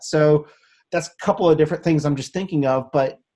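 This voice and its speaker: The man's voice is somewhat breathy. Its tone is dark and mellow. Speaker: advocacy show host. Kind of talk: casual interview chat. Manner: stutters, trips over words; animated.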